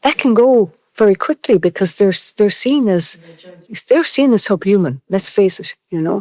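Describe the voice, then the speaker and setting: The speaker talks at a moderate pace with an Irish accent. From Ireland. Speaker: interviewee, mixed-race care survivor. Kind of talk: podcast discussion, personal testimony.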